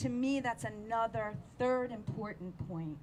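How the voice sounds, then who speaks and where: A woman talks at a fairly slow pace with very wide pitch swings, and audible room echo surrounds her voice. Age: 60s. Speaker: community activist. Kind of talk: public speech at news conference.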